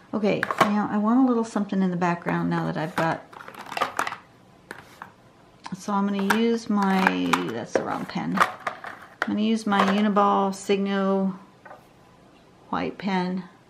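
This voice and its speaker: Over noticeable background noise, a woman speaks at a fairly slow pace with fairly even intonation and long, frequent pauses. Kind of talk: tutorial.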